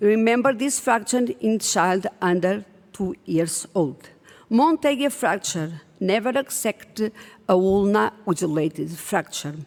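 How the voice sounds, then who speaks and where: In a non-native accent, a woman speaks at a very slow pace with lively intonation. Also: medium pitch for a woman. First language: not English. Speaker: pediatric orthopedic surgeon. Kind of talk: conference presentation.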